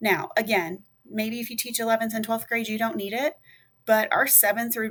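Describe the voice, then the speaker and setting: A woman talks at a fairly high pitch and a moderate pace. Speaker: middle and high school teacher. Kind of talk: tutorial. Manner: loud; casual, conversational.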